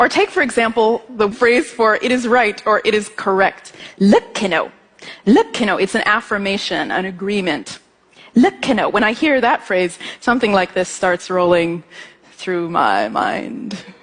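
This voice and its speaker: Noticeable background noise sits under this recording. A woman speaks at a fairly slow pace, with fairly high pitch and ordinary pitch variation. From Ethiopian family. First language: Amharic. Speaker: musician and composer giving a talk. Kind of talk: stage talk. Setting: stage with audience.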